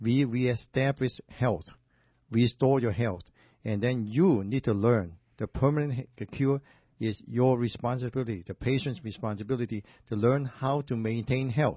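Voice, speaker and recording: Breathy to some degree, a man's medium-pitched voice moves at a moderate pace with ordinary pitch variation. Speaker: doctor, radio show host. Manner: explanatory, halting grammar.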